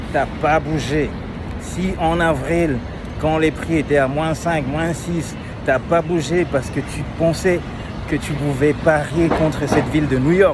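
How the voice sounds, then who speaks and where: A man speaks very slowly in a Cameroonian accent with monotone, flat intonation. Noticeable background noise runs underneath. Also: fairly high pitch for a man. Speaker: real estate agent. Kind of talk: vlog market commentary.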